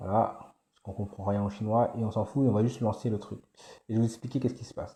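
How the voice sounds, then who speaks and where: A man speaks very fast and soft-spoken at a medium pitch, his dark, mellow tone somewhat breathy and his intonation monotone and flat, with big swings in loudness on a very clean recording with a silent background. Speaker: AI business YouTuber. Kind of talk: screen-share tutorial. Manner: soft-spoken, morning voice; hesitant with many fillers.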